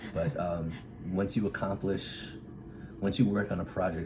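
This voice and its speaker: A man speaks with an American accent at a moderate pace. His intonation stays fairly even, and audible room echo surrounds the voice. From Massachusetts, south of Boston. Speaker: Air Force officer. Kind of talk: casual interview.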